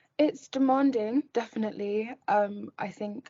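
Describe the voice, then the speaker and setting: A woman speaks in a somewhat breathy voice. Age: 20s; young. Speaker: law student and model. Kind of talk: interview.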